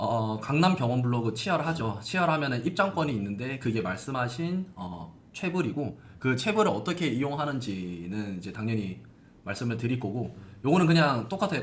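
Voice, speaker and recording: A man's medium-pitched, somewhat breathy voice in a Gyeongsang accent, with very wide pitch swings, a fairly quick pace and audible room echo. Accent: Gyeongsang dialect, can't lose it. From South Korea, Gyeongsang region (Gimhae). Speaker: hospital blog marketing expert. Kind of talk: live-stream Q&A.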